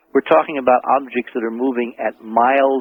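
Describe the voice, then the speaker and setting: A man speaks at a moderate pace in an unremarkable speaking voice, his pitch sitting in the medium range. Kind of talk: radio interview answer.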